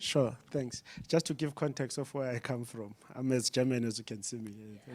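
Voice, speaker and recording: Medium-pitched male speech with a South African accent, fairly even intonation and a moderate pace, on a very clean recording with a silent background. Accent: rural South African. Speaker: development agency official. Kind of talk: panel discussion.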